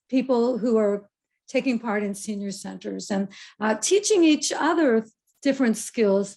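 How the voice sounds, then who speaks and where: A woman speaks at a fairly slow pace with a fairly high pitch and ordinary pitch variation. Her tone is dark, mellow and somewhat breathy. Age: 70s. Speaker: keynote speaker on aging. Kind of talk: keynote talk.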